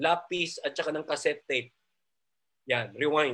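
Speaking at a moderate pace, a man sounds animated, with a bright, sharp tone. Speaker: preacher leading online feast. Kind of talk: preaching, warm sermon. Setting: online Zoom and Facebook Live audience. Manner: animated, fervent, encouraging; mixes Taglish, conversational.

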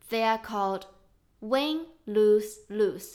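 Speaking at a very slow pace, a woman uses a fairly high pitch. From China. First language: Chinese. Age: 30s. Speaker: podcast host. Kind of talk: casual chat. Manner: emotional.

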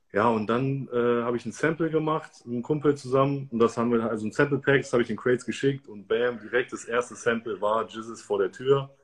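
In a normal speaking voice, a man talks at a fairly quick pace with a medium pitch and fairly even intonation. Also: hardly any pauses. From Germany, Göttingen. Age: 30s. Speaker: DJ and music producer. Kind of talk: interview.

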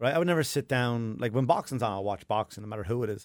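On a very clean recording with a silent background, a man with an Irish accent talks at medium pitch. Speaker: comedian and podcast host. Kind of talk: casual chat.

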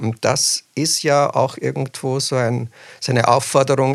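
A man talks at a moderate pace in a monotone, flat intonation with vocal fry. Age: 40s. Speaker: children's book author. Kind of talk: interview.

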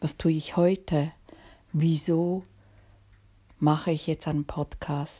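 A woman's very deep, low, somewhat breathy voice with a dark, mellow tone, monotone and flat, at a very slow pace with long, frequent pauses. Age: 50s. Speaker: podcast host and author. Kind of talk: podcast monologue introduction.

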